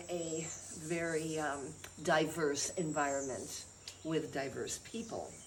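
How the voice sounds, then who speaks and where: In an American accent, the speaker goes at a very slow pace amid noticeable background noise and audible room echo. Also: woman. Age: 70s. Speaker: chiropractor and healer. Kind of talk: interview talk about health practice.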